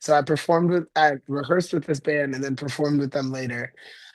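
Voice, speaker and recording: A man talks in a fairly high pitch with a monotone, flat delivery. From Guyana. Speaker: rock and soul singer. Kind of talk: interview.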